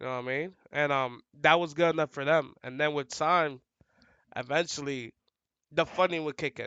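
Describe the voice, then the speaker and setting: Talking at a fairly quick pace, a man with a New York accent has a fairly high pitch and ordinary pitch variation. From New York City, the Bronx. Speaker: fighting game commentator and player. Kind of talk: casual podcast interview. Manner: loud, outgoing.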